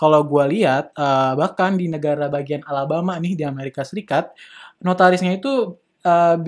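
The background is quiet as a man talks with fairly even intonation. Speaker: podcast host. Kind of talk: casual educational discussion. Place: studio. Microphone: studio mic.

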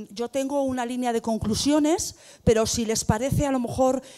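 A woman speaks in a high pitch with a dark, mellow tone. Her pitch variation is ordinary, and the background is quiet. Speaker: debate moderator, rural development manager; panel moderator. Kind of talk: panel discussion moderation. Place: hall. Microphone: handheld.

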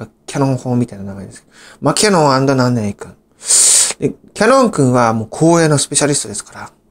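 Very fast and full of big swings in loudness, a man talks at a medium pitch with lively intonation. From Japan, Saitama (Gyoda). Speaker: YouTuber. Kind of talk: storytelling monologue. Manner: halting, many fillers.

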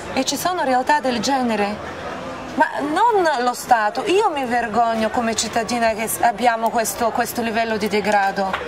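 Ordinary pitch variation at a moderate pace, over noticeable background noise. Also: woman, fairly high pitch for a woman. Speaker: interviewer, director. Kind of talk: interview questions and appeal to camera. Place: cafe.

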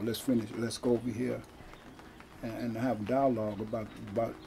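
A man with an American accent, over light background noise. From Stockton, California; California. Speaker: former prisoner and activist. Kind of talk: interview. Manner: halting. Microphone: camera far.

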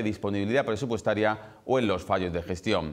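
Against a quiet background, a man speaks with an Andalusian accent. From Andalusia, Spain. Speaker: news presenter. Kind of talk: TV news editorial. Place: studio.

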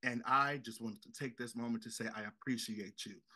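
A man's voice against a quiet background. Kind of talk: casual heartfelt tribute. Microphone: video call.

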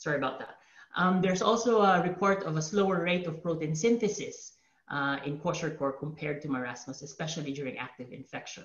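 In a quiet background with audible room echo, a man talks very fast at a fairly high pitch with ordinary pitch variation. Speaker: researcher presenting and leading panel. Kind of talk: academic webinar presentation and discussion. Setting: video call webinar. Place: home room. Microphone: webcam.

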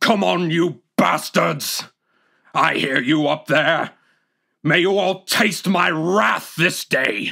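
Shouting, growling put-on character voice at a middle pitch, delivered at a very slow pace. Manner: shouting, defiant.

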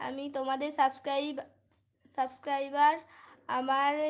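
Here a woman speaks at a high pitch. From West Bengal, Bardhaman district. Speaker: live streamer. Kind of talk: casual live stream chat. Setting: livestream at home at night. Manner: animated.

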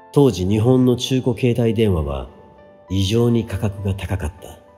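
A man speaks at a fairly low pitch and a fairly slow pace. Music plays in the background. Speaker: musician. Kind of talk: audiobook reading.

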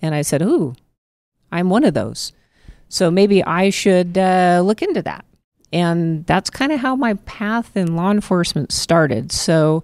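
This woman talks at a fairly slow pace. The sound is dry with no echo over a quiet background. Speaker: candidate. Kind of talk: interview answer. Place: cafe. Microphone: handheld.

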